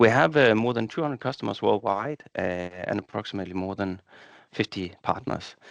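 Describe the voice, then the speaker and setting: With a Danish accent, a man with a fairly low voice speaks at a fairly quick pace with ordinary pitch variation, the sound dry and close with no echo against a quiet background. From Denmark. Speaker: software partnerships director. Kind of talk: webinar presentation.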